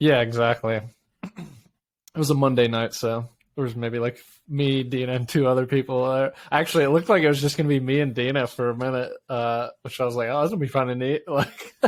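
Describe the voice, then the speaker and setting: Delivered at a fairly quick pace with fairly even intonation, this is an ordinary speaking voice. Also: man, medium pitch for a man. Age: 30s. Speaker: podcast co-host. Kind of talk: casual chat. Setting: video call.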